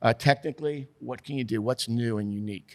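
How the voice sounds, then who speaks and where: A man with a plain, everyday voice, medium pitch, ordinary pitch variation and a fairly quick pace, on a very clean recording with a silent background. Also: dry, close sound with no echo. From New York. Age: 60s. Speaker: TV sports director. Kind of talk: podcast interview. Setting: studio.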